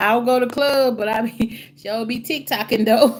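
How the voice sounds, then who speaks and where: Fairly even intonation comes at a fairly slow pace over noticeable background noise. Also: woman. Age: 60s. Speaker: live stream co-host. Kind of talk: casual chat.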